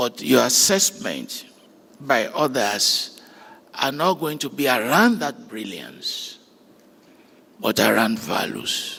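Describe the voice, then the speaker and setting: Speaking very slowly with long, frequent pauses, a man is heard against noticeable background noise. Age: 70s. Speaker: graduation speaker. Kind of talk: commencement address. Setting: graduation ceremony with audience. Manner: formal.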